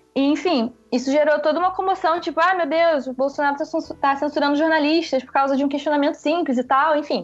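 Over noticeable background noise, a woman with a high voice talks at a fairly quick pace with hardly any pauses. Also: fairly even intonation. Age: 20s. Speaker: journalist. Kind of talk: interview.

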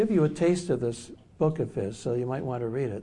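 A man's medium-pitched, somewhat breathy voice with an American accent, lively intonation and a fairly quick pace, with audible room echo. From US Midwest, Detroit. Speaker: author and psychotherapist. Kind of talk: workshop lecture. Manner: halting.

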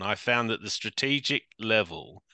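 A man with a London accent and a bright, sharp tone, fairly quick in pace, in a dry, close sound with no echo. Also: quiet background. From London, England. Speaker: crisis management consultant, former police officer. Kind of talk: interview.

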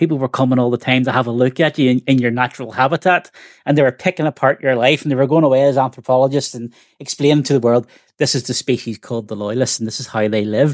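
A man with a Northern Irish accent talks at a very fast pace in a medium pitch, with ordinary pitch variation. The recording is very clean, dry and close, with no echo and a silent background. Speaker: podcast co-host. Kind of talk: podcast interview.

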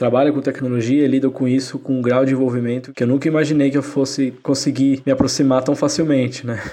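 A man's medium-pitched voice in a flat monotone, with noticeable background noise. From São Paulo metro area, Brazil. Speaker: tech manager, listener. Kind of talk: recorded listener voice message.

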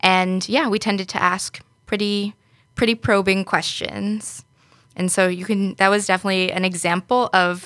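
In a very clean recording with a silent background and a dry, close sound with no echo, a woman with a New York accent speaks at a moderate pace and medium pitch, her tone bright and sharp and her intonation fairly even. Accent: New York American. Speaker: software engineer. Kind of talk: podcast panel discussion. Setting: studio.

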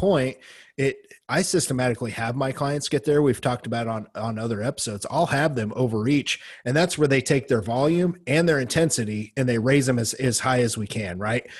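Against a quiet background, a man with a medium-pitched, somewhat breathy voice talks at a fairly quick pace with ordinary pitch variation and hardly any pauses. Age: middle-aged. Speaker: bodybuilding podcast host. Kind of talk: casual chat.

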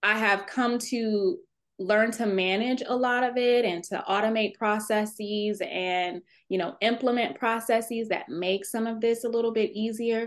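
A woman with an American accent has an unremarkable speaking voice, fairly high in pitch with fairly even intonation. She talks at a fairly slow pace against a quiet background. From Texas. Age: 30s. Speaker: attorney and navy veteran. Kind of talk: interview.

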